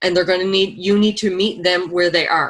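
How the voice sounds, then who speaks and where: Speaking at a fairly quick pace, a woman has a normal speaking voice with a fairly low pitch. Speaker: network marketing team leader. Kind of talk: online training webinar.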